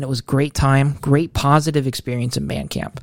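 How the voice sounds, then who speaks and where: With an American accent and an unremarkable speaking voice, a man talks at a moderate pace and a fairly high pitch. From Ohio, Mansfield. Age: 20s. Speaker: seminary student. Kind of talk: casual interview chat.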